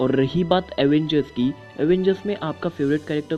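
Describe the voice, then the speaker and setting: Background music beneath a man's voice, fairly high for a man. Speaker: YouTube channel host. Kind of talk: casual talk to camera.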